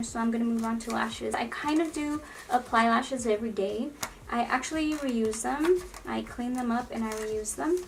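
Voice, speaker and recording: Noticeable background noise runs behind a woman with a fairly high pitch. She keeps a moderate pace and ordinary pitch variation. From Los Angeles, California. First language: Spanish. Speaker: beauty vlogger. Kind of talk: casual get-ready-with-me vlog. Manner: chatty, rambling.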